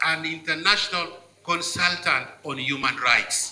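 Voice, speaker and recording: A man with a Ugandan accent, at a fairly slow pace. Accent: Ugandan (Lango) English. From Uganda, Lango region. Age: 70s. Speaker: politician and cultural leader speaking at event. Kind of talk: formal speech at book launch.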